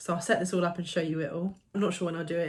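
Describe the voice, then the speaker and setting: A woman's fairly low, somewhat breathy voice at a very fast pace, in a monotone, flat intonation. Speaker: vlogger. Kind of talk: casual chat.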